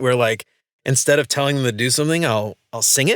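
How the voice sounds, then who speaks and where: Recorded with a dry, close sound and no echo, a man speaks at medium pitch in a bright, sharp tone with ordinary pitch variation. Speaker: podcast host.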